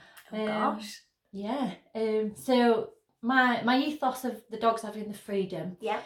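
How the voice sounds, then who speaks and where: In a Yorkshire accent, the speaker goes at a fairly slow pace with ordinary pitch variation and big swings in loudness. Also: woman, fairly high pitch for a woman. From northern England, Sheffield. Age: 30s. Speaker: business owner. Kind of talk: interview.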